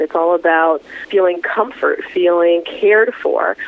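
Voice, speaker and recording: Noticeable background noise behind a speaking woman. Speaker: psychotherapist. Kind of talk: interview.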